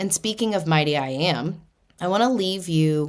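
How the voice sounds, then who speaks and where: Recorded very cleanly with a silent background, a woman with an American accent speaks at a fairly slow pace. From US Northeast, Boston. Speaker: spiritual podcast host. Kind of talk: podcast monologue on spirituality. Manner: casual, conversational.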